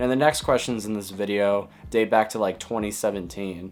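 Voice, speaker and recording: At a fairly quick pace, a man talks in a fairly low voice. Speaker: YouTuber and music artist. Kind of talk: casual Q&A video. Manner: monotone; flat, low-energy delivery.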